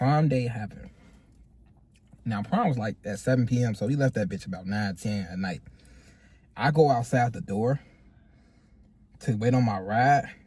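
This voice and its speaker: Somewhat breathy and at a medium pitch, a man talks at a moderate pace with ordinary pitch variation and long, frequent pauses. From Chicago. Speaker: podcast co-host. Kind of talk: casual chat. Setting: in a car.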